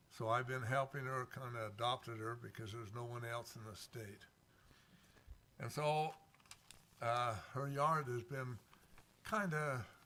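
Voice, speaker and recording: The voice has a bright, sharp tone and ordinary pitch variation, with big swings in loudness. It moves at a fairly slow pace with long, frequent pauses. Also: man. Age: 90s. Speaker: public commenter at city council. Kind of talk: public comment. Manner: halting.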